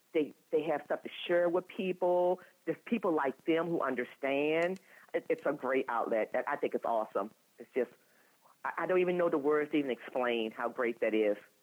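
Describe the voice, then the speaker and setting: A woman speaks with an American accent at a moderate pace. Her voice is very deep and low, with lively intonation. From Virginia, US. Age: 60s. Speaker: patient advocate. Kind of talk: interview. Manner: animated.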